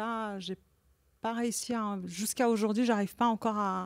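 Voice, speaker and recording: A woman speaks at a moderate pace in a Persian accent, her medium-pitched voice following a fairly even intonation, with a dry, close sound and no echo. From Iran. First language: Persian (speaking French). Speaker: visual artist. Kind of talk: conversation at an exhibition talk. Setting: gallery talk with audience. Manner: halting, many repetitions.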